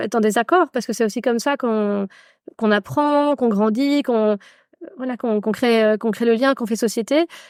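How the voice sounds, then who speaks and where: A woman's fairly high voice at a moderate pace with ordinary pitch variation, in a very clean recording with a silent background. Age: 40s. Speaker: meditation instructor and feminist activist. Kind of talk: casual interview conversation. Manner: halting, many fillers.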